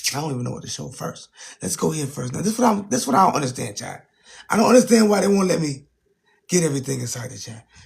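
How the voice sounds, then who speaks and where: Using a raspy, put-on character voice, a man speaks fairly high with very wide pitch swings at a very fast pace. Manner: talking low.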